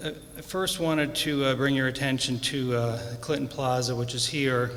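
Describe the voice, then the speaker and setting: A man at a moderate pace with fairly even intonation and very even loudness, amid audible room echo and noticeable background noise. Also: medium pitch for a man. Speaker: property owner speaking at public comment. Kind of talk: public comment with slides. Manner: soft-spoken; halting.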